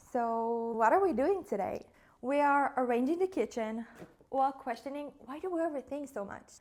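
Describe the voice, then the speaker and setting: Speaking at a moderate pace with lively intonation, a woman with a high voice and a non-native accent makes big swings in loudness. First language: not English. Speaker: content creator and podcaster. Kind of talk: casual vlog monologue. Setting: home kitchen. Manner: casual, hesitant.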